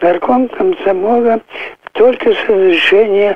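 A man talks with ordinary pitch variation. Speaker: war veteran. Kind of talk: interview. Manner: halting.

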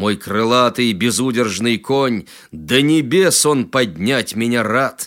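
Lively intonation marks a man's speech, delivered at a very slow pace. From Tatarstan, rural village. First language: Tatar (speaking Russian). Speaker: poet. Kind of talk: poetry reading.

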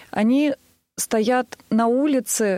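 This woman has an ordinary speaking voice, fairly high in pitch and fairly even in intonation. The sound is dry and close, with no echo. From Tver, Russia. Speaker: singer. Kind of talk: radio interview.

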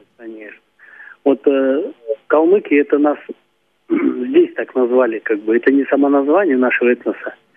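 Taking long, frequent pauses, a man with a fairly high pitch talks at a moderate pace with ordinary pitch variation. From Kalmykia. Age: 50s. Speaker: folk singer. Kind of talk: phone interview.

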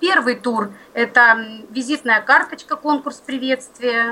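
A woman speaks very slowly in a high voice. Her tone is bright and sharp, with ordinary pitch variation. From Belgorod region, Russia. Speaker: regional library worker for the blind. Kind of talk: radio interview.

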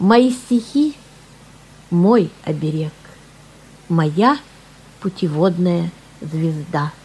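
Pausing long and often, a woman speaks at a very slow pace with lively intonation and a fairly low pitch. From Siberia, Irkutsk. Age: 60s. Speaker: amateur poet. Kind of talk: personal introduction; poetry reading.

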